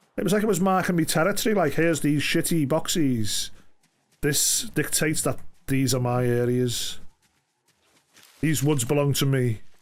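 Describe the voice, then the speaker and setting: The loudness stays very even while the intonation is lively. Long, frequent pauses break up the speech, and room echo is audible. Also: man, fairly high pitch for a man. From England, Liverpool. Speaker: gaming streamer. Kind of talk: casual chat. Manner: fast; animated.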